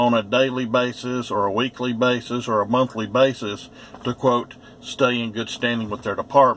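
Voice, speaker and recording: A man's medium-pitched voice at a fairly slow pace amid noticeable background noise. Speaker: first amendment auditor vlogger. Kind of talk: casual monologue to camera.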